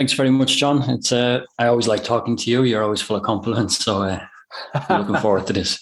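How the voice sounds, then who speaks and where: In an Irish accent, the speaker talks at a very fast pace with very even loudness. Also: man, medium pitch for a man, ordinary pitch variation. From Ireland. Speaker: online business owner. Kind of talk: interview. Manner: hesitant, many fillers.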